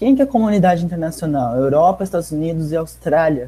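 A man talks very fast in a dark, mellow tone. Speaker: participant activist. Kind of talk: casual discussion. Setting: video call. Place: home room. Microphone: earbuds.

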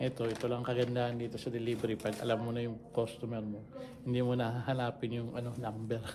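A man talking very fast at a medium pitch, flat and monotone, with audible room echo and noticeable background noise. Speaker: delivery driver vlogger. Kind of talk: casual vlog narration.

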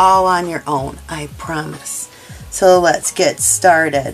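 Faint music plays in the background. Over it, a woman speaks. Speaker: crochet instructor. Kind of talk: tutorial. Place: home room.

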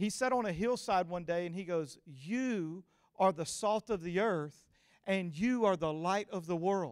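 In a Louisiana accent, a man speaks at a fairly slow pace with a high pitch. The background is quiet. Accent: Southern US, Louisiana. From US South, Louisiana (Cajun). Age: 40s. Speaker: guest preacher. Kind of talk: sermon. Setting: church with live audience. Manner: animated. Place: stage. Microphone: handheld.

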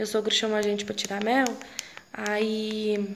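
A woman's fairly high-pitched voice over light background noise. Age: 20s. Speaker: rural life vlogger. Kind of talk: casual talk to camera. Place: home room. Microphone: phone near.

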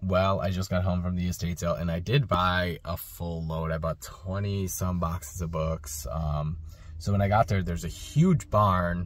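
Speaking fairly slowly in a very deep, low voice with ordinary pitch variation, a man is heard in a dry recording with no echo. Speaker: book reseller. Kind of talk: casual vlog chat. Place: car. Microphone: phone near.

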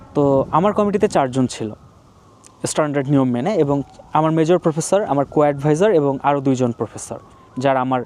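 A fairly high-pitched male voice with ordinary pitch variation over noticeable background noise. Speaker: PhD graduate and video blogger. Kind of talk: informal explainer monologue. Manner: conversational, many pauses.

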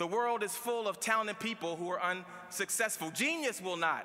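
Raising and projecting his voice, a man with an American accent talks at a moderate pace in an animated, bright, sharp tone, his high pitch moving with lively intonation. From Baltimore, US. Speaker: commencement speaker, lawyer and radio host. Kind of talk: commencement speech. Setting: stage with audience at graduation ceremony. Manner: animated, motivational, punchy with jokes and crowd-pleasing slang; conversational and humorous, laughing at his own anecdotes. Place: hall. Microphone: podium.

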